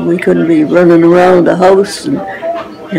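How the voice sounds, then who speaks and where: Clear music plays in the background as a woman speaks at a fairly low pitch. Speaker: care home resident. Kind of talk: interview answer. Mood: warm, nostalgic. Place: home room. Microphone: phone near.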